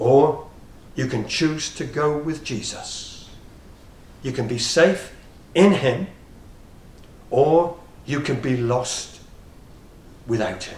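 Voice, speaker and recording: Speaking at a very slow pace with long, frequent pauses, a man with a fairly high pitch is heard amid audible room echo. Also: ordinary pitch variation, big swings in loudness. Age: 60s. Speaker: preacher. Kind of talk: sermon.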